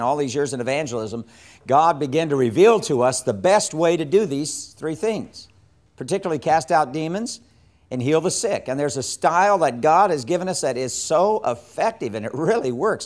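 This man's intonation is lively. He keeps up a fairly quick pace. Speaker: evangelism teacher. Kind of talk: lecture. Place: studio. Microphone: lapel.

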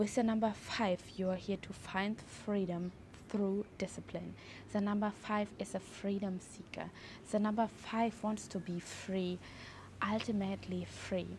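A woman at a fairly slow pace, with monotone, flat intonation over light background noise. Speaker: numerology teacher. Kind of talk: tutorial. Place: garden. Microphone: lapel.

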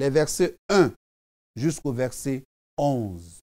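A man talking at a very slow pace against a quiet background. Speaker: preacher. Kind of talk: devotional sermon, preaching and prayer. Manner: earnest, fervent, exhortative, addressing the viewer as 'tu'. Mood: fervent, exhorting. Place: studio. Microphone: lapel.

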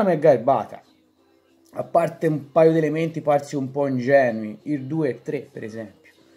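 Faint music plays in the background as a man with a Pisan accent talks at a fairly quick pace. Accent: Pisan Tuscan dialect. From Pisa, Italy. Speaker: author reading his own book. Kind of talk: reading from his own book on football fandom. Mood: wry, humorous. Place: home room. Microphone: phone near.

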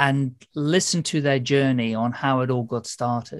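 Someone speaks with a British accent against a quiet background. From UK. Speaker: podcast host. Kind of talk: casual interview. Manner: chatty, rambling. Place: home room. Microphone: video call.

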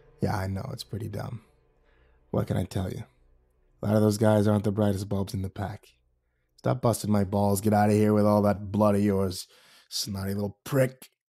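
A man's put-on character voice, fairly low-pitched and rumbling, with monotone, flat intonation, a fairly quick pace, long, frequent pauses, and a very clean recording with a silent background. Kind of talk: casual tough-guy storytelling. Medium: voice reel. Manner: sheepish, then sour and grumbling.

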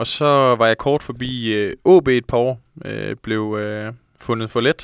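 Against a quiet background, a man speaks at a very slow pace with fairly even intonation, the sound dry with no echo. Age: 20s. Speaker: professional footballer; guest. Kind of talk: casual interview. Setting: studio. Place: studio. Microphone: handheld.

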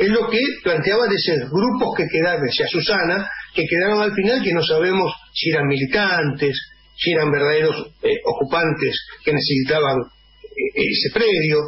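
Against light background noise, a man talks at a moderate pace in a high voice, with lively intonation and very even loudness. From Argentina. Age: old. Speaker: radio co-host. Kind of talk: radio panel discussion. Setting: radio studio. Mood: critical, political opinion. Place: studio.

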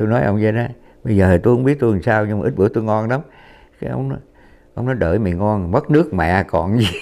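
A man at a very fast pace, fairly low pitch, dark and mellow tone, lively intonation. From southern Vietnam, Saigon. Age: 80s+. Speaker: war veteran. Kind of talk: testimony. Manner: halting.

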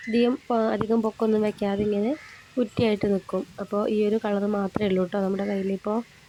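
Soft-spoken and at very even loudness, a woman talks at medium pitch with monotone, flat intonation. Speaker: home plant nursery seller. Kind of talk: sales pitch.

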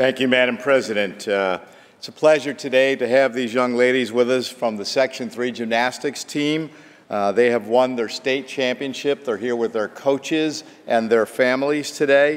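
The speaker is a man. His intonation is fairly even and his pace moderate. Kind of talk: formal floor speech. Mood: proud, congratulatory. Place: hall. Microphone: podium.

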